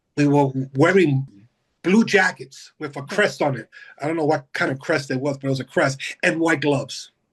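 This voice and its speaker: At a moderate pace, a somewhat breathy man speaks in a fairly high pitch with ordinary pitch variation. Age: 60s. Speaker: hospital biomedical equipment technician. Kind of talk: casual interview.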